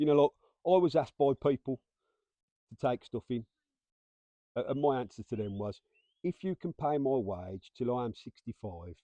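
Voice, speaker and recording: With long, frequent pauses, a man speaks in a medium-pitched, dark, mellow tone with lively intonation and a dry, close sound with no echo. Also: moderate pace. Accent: English. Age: 50s. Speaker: former prison officer. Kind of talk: casual chat.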